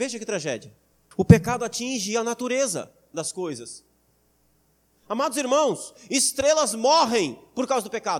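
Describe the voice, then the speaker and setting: A man with a Brazilian accent speaks at an extremely high pitch and a moderate pace, leaving long, frequent pauses. His intonation is lively and his loudness swings widely, on a very clean recording with a silent background. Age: 30s. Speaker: pastor. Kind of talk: sermon. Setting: church.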